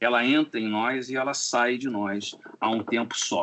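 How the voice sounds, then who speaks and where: Noticeable background noise behind a man talking at a medium pitch. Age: 60s. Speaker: composer. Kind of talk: interview. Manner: halting.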